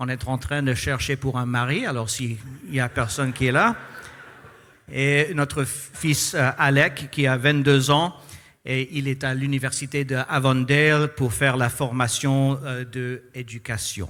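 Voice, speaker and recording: With a non-native accent, a man talks at a very slow pace in a medium-pitched voice that has a bright, sharp tone and fairly even intonation. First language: English (speaking French). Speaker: pastor. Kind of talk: sermon. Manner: halting.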